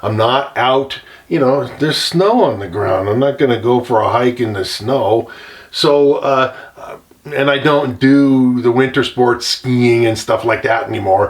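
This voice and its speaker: Speaking at a fairly slow pace, a man with a medium pitch uses a normal speaking voice with ordinary pitch variation. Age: 60s. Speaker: gold prospector. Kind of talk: casual talk to camera. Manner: relaxed, with many fillers.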